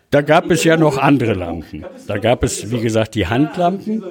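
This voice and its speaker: There is noticeable background noise as a man speaks at a moderate pace with lively intonation. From Ruhr area, Germany (Recklinghausen). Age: 70s. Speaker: retired miner and mining lamp collector. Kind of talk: interview. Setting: collectors' meeting in a cellar.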